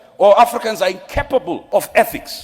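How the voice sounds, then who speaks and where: A man talks over noticeable background noise. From Zimbabwe. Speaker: lawyer and pan-Africanist speaker. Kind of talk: panel debate speech. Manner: impassioned.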